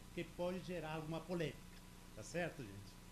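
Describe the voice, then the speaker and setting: A man with a non-Brazilian accent talks at a fairly quick pace with fairly even intonation, amid noticeable background noise and audible room echo. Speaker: industry technical presenter. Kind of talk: technical presentation.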